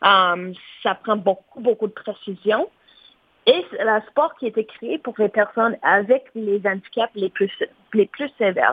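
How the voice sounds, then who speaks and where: Pitched fairly high, a woman talks at a very slow pace with ordinary pitch variation. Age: 30s. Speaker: para-athlete. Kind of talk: interview.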